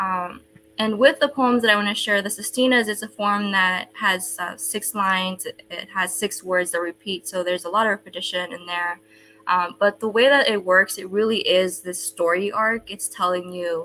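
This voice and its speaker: A woman's bright, sharp voice at medium pitch, with ordinary pitch variation and a moderate pace. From El Salvador. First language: Spanish. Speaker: poet. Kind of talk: casual talk.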